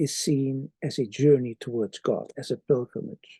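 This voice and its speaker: Speaking fairly slowly with a non-native accent, a man has a fairly high pitch and a dark, mellow tone in a dry, close sound with no echo. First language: Dutch. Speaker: theology professor. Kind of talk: author's introduction to an article.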